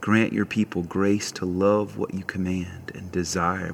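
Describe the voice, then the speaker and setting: A man with a very deep, low pitch speaks in a warm tone with monotone, flat intonation. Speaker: prayer leader. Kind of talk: guided prayer and worship; fervent intercessory prayer. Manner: warm, earnest, fervent.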